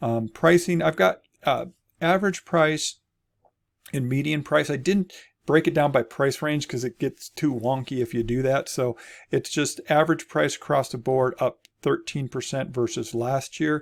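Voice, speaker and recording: An ordinary speaking voice from a man, fairly high in pitch, with ordinary pitch variation, a moderate pace and a very clean recording over a silent background. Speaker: real estate agent. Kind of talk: market update video. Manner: casual with fillers.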